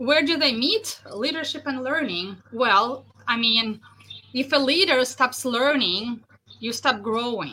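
A woman's high, raised and projected voice at a very slow pace, with ordinary pitch variation. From Russia. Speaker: leadership coach. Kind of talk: interview.

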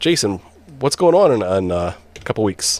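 A man talks at a moderate pace with an American accent. His pitch swings very widely. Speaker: podcast host. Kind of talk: casual roundtable discussion. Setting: video call livestream.

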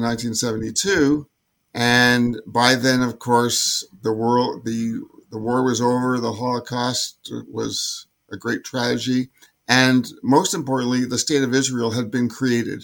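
A man speaks in an ordinary speaking voice at medium pitch, with fairly even intonation and a moderate pace. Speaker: former Olympic sailor. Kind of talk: interview, recounting memories.

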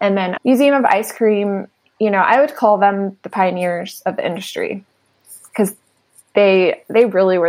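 A normal speaking voice at a fairly slow pace. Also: woman. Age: 40s. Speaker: art gallery founder. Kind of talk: casual interview chat. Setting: remote call from home.

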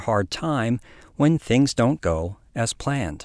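On a very clean recording with a silent background, a man speaks at medium pitch. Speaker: podcast host. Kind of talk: interview conversation.

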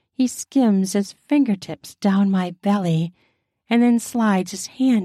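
Ordinary pitch variation in a natural reading voice, the background quiet

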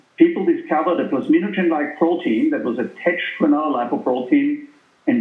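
Speaking with a German accent, a man talks at a fairly quick pace in a high pitch, his voice making very wide pitch swings amid audible room echo. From Austria. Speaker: cardiologist and lipid specialist. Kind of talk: interview.

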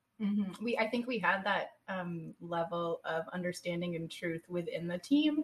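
A woman talks at a moderate pace in an ordinary speaking voice. Her pitch is fairly low, with hardly any pauses. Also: ordinary pitch variation. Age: 40s. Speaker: cancer patient and advocate. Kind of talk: casual chat. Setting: studio.

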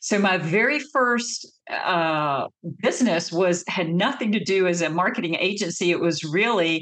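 A woman speaks in a Southern US accent. Her fairly low voice carries lively intonation. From North Carolina, US South. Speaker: marketing agency CEO. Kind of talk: interview.

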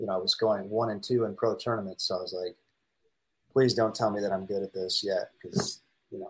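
Talking at a very fast pace, a man speaks with a Midwestern American accent. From US Midwest, St. Louis, Missouri. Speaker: professional pickleball player. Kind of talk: casual interview.

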